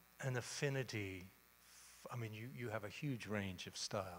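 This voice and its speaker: A man talks in an Australian accent. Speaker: moderator. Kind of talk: on-stage interview.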